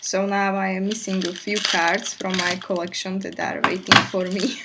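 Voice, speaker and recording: At a fairly slow pace, a woman speaks in a medium pitch with monotone, flat intonation over noticeable background noise. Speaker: K-pop fan vlogger. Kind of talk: casual unboxing talk to camera. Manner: low-key, quiet.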